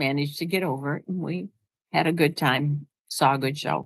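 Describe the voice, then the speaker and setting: Very deep and low in pitch, a woman speaks with ordinary pitch variation. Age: 80s+. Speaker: vlogger. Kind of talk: casual chat. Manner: halting.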